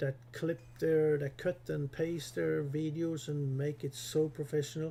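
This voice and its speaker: Here a man speaks at a fairly slow pace, with a fairly high pitch and ordinary pitch variation. His voice is somewhat breathy, with a dark, mellow tone. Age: 60s. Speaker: gaming youtuber. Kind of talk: tutorial. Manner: halting; casual.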